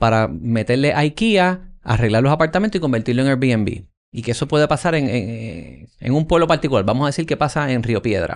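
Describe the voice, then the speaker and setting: A man with a Puerto Rican accent at a medium pitch, fairly quick pace and lively intonation, over a quiet background. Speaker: podcast host. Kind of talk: interview conversation.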